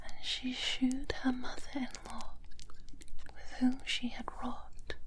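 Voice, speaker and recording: A whisper, gentle in tone, at a very slow pace. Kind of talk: soft-spoken Bible reading ASMR. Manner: soft-spoken, gentle, whispered layers.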